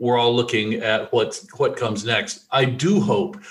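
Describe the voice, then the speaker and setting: Audible room echo follows a man who speaks at a medium pitch and a fairly slow pace. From US South, rural Alabama. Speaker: podcast host, developer. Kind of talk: casual chat.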